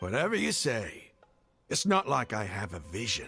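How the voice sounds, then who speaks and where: A man puts on a character voice that is raspy and fairly low. His intonation is lively. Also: moderate pace. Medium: short film. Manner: fervent.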